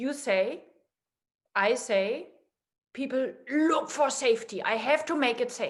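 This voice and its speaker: A woman with a non-native accent speaks at a very slow pace in a high voice with ordinary pitch variation. Long pauses come often. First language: not English. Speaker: guest in a conversation series. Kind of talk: casual philosophical conversation.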